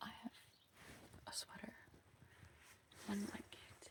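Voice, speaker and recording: The pace is very slow. A woman whispers her words. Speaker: travel vlogger. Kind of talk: casual vlog. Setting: outdoors on hiking track.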